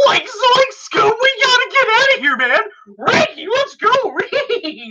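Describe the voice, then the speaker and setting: A woman uses a put-on character voice with an extremely high pitch. She speaks at a fairly slow pace. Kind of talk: casual, slangy. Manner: panicked, urgent.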